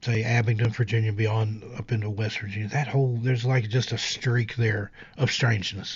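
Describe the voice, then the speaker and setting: Over noticeable background noise, a man talks at a moderate pace with a slight Appalachian accent. His medium-pitched voice has monotone, flat intonation. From US South, Appalachia. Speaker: podcast host and narrator. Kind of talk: casual chat. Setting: live stream.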